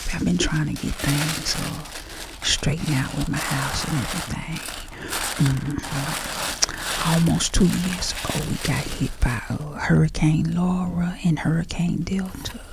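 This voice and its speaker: A woman whispering at a fairly slow pace with hardly any pauses, music in the background. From Southern US. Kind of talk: casual chat while packing orders. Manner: kind, soothing.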